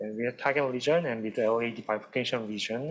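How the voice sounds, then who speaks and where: Speaking very fast with a Korean accent, a man holds a medium pitch and fairly even intonation. Background noise is noticeable. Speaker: cardiology fellow. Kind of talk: case presentation.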